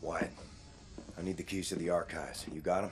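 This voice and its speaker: A man uses a raspy, put-on character voice at a fairly quick pace. Clear background noise can be heard. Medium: video game. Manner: terse, low, gravelly.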